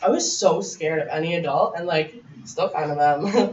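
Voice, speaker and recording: A woman speaks in a Canadian accent. Noticeable background noise and audible room echo are present. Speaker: abuse survivor and guest speaker. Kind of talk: personal testimony to a class. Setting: college classroom. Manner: loud.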